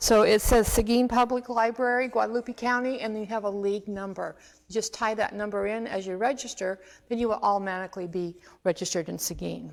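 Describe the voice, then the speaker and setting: Fairly quick speech from a woman with an ordinary speaking voice, fairly high in pitch, with fairly even intonation. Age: 60s. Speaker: extension health educator. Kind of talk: informational presentation. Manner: casual, conversational.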